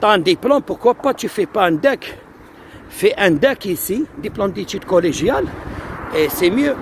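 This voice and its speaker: Over noticeable background noise, a man with a high pitch talks at a fairly slow pace. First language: Algerian Arabic (speaking French). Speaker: immigration advice streamer. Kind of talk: live stream Q&A. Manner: hesitant, code-switching.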